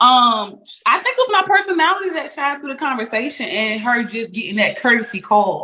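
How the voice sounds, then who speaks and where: Raising and projecting her high voice, a woman speaks at a fairly quick pace in a bright, sharp tone with very wide pitch swings. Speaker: transportation business co-owner. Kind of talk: interview. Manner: fast.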